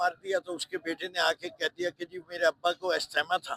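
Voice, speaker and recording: In a raised, projected voice with a bright, sharp tone, a man keeps fairly even intonation, with a dry, close sound with no echo. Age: 70s. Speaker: politician. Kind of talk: interview.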